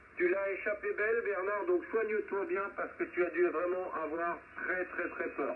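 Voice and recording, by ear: Male speech at a moderate pace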